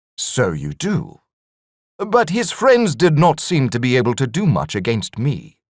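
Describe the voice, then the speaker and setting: A man puts on a character voice at a fairly high pitch, swinging very widely in pitch. He keeps a moderate pace on a very clean recording with a silent background. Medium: read story. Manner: cold, controlled.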